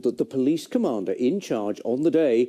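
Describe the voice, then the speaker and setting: A man talks at a moderate pace with faint music in the background. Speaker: news presenter. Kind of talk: news reading. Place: studio.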